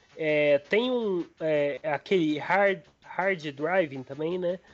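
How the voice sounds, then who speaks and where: A man talks at a high pitch with ordinary pitch variation. Music plays in the background. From Brazil, Minas Gerais interior (Frutal). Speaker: retro gaming enthusiast. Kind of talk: casual chat.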